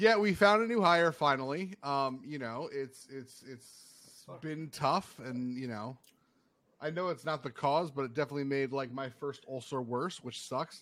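Here is a man with an ordinary speaking voice, fairly high in pitch and fairly slow. His pitch varies in an ordinary way while his loudness swings widely. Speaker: podcast host. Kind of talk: casual chat.

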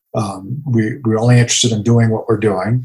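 This man has an American accent and sounds somewhat breathy. He talks at a moderate pace. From US South, Jacksonville, Florida. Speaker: coffee roaster business owner. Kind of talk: interview conversation.

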